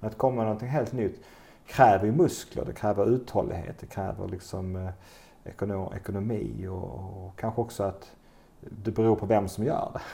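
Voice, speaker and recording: A man's somewhat breathy, dark, mellow voice, fairly low in pitch, at a moderate pace, with ordinary pitch variation and big swings in loudness. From southern Sweden, Skåne (Bjärred near Lund). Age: 50s. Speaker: entrepreneur and retreat center owner. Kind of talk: interview conversation. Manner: hesitant, with fillers.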